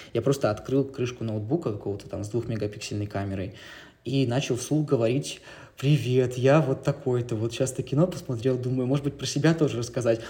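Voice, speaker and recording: A man's somewhat breathy, dark, mellow voice at medium pitch and a fairly quick pace, with ordinary pitch variation, on a very clean recording with a silent background. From Siberia, Russia (Novosibirsk). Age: 20s. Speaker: documentary filmmaker and journalist. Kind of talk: casual interview chat.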